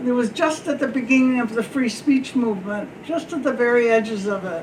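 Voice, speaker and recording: A woman talks in a high pitch at a fairly quick pace with ordinary pitch variation. Noticeable background noise and audible room echo are present. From South America. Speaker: librarian, civic league member. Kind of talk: panel storytelling. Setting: panel with student audience.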